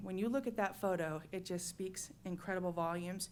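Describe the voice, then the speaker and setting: A woman talks at a fairly quick pace, with a medium pitch and ordinary pitch variation. It is an unremarkable speaking voice. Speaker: state agency staff presenting to commission. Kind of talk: meeting presentation.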